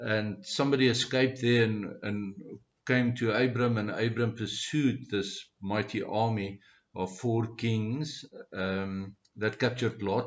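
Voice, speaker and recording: In a South African accent, a man speaks at a fairly slow pace with a medium pitch and fairly even intonation. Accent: Afrikaans-accented English. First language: Afrikaans. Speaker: Bible study speaker. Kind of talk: informal Bible teaching talk. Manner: halting, many fillers.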